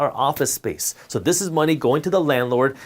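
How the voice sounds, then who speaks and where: Here a man speaks at a fairly high pitch. His pace is very fast and his intonation lively. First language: Punjabi. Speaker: finance educator. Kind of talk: tutorial.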